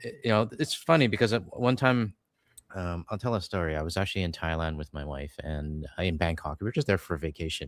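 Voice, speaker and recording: A man with a Canadian accent, a very deep, low pitch and lively intonation, talking fairly quickly on a very clean recording with a silent background. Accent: Canadian, can be mistaken for American. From Canada, British Columbia. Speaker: political commentator, channel host. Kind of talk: casual chat on livestream.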